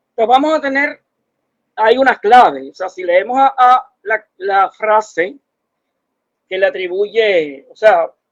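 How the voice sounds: A man speaks in a high register, with ordinary pitch variation. The sound is dry and close, with no echo.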